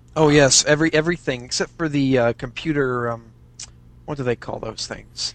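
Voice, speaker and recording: With an American accent, a man talks at a moderate pace in a fairly high pitch, keeping his intonation fairly even. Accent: slight English-tinged American. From US. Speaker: fan and aspiring writer. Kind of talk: casual interview chat. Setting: video/voice call over Skype.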